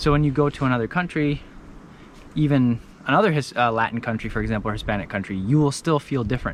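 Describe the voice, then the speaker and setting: Speaking at a very fast pace, a man with an American accent keeps a medium pitch and ordinary pitch variation. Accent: American-sounding English. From India, US and UK (third culture kid). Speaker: vlogger. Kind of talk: casual vlog monologue. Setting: outdoors on a hike. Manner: conversational with hesitations.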